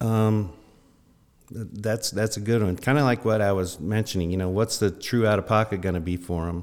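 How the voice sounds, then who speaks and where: A man with an American accent speaks in an unremarkable speaking voice at a fairly low pitch, moderate pace and fairly even intonation. The recording is very clean, with a silent background. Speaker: financial advisor. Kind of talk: podcast interview.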